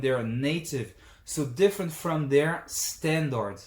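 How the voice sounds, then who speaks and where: A man with a French accent speaks at a fairly slow pace in a fairly high, somewhat breathy voice. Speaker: language teacher. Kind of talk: tutorial.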